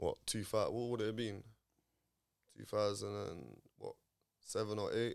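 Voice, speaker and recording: In a London accent, a man talks at a moderate pace, leaving long, frequent pauses. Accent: London multicultural English. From North London. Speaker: chef. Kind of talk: casual chat.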